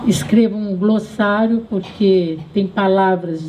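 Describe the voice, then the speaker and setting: Noticeable background noise behind fairly slow speech, its pitch varying in an ordinary way. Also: woman. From Brazil, Southeast. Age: 80s+. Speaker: feminist activist and writer. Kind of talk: public talk. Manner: halting.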